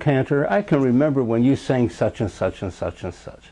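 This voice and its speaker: A man talks in a dark, mellow tone. He keeps a moderate pace. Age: 80s+. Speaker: cantor. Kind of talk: interview, reminiscing.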